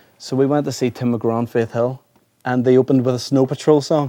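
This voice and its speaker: Using a dark, mellow tone and a medium pitch, a man speaks at a fairly quick pace with an Irish accent and fairly even intonation. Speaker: singer-songwriter. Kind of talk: interview.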